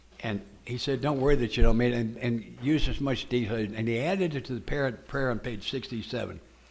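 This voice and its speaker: A man speaks at a medium pitch with vocal fry. His pitch varies in an ordinary way. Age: 80s. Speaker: AA speaker. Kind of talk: testimony.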